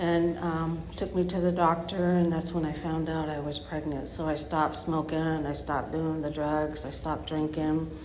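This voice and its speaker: A woman's very deep, low voice with monotone, flat intonation and hardly any pauses, amid noticeable background noise and audible room echo. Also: moderate pace. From Bay Area, California. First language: not English (third language). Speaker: recovering addict sharing story. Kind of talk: testimony. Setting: speaker meeting with audience. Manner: halting, many fillers.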